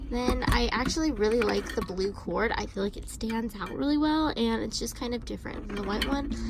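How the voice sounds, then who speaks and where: Noticeable background noise sits behind a woman talking at a fairly quick pace with hardly any pauses. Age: young. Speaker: lifestyle vlogger. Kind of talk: casual talk to camera.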